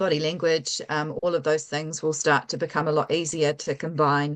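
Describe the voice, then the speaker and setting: A woman with a New Zealand accent speaks at a moderate pace in a very deep, low pitch with monotone, flat intonation. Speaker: tech company founder and CEO. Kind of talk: interview.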